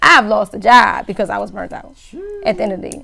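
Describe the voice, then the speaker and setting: A woman talking at a fairly quick pace against noticeable background noise. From Louisiana. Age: 30s. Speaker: podcast co-host, DJ. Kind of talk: casual chat.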